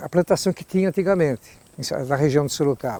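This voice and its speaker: Heard in a dry, close sound with no echo, a man speaks in a dark, mellow tone with ordinary pitch variation. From Brazil, Mairinque (São Paulo state). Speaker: local elder interviewee. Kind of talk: interview recollection. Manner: halting, many repetitions.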